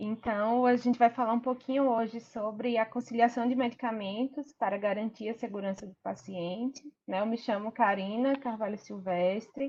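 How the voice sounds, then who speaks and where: Speaking with a strong northeastern Brazilian accent, a woman keeps a fairly high pitch and fairly even intonation. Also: moderate pace. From Sergipe, northeast Brazil. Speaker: pharmacy professor. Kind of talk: online lecture. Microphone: some viewers report bad audio.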